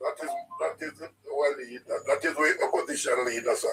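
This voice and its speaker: Backed by music, a man with a Jamaican accent speaks at a moderate pace. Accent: Jamaican, Patois features. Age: 70s. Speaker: caller. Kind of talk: political call-in chat. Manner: animated.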